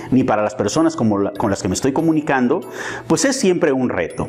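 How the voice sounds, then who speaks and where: A man's medium-pitched voice with very wide pitch swings, over noticeable background noise. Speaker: business trainer. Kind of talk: lecture.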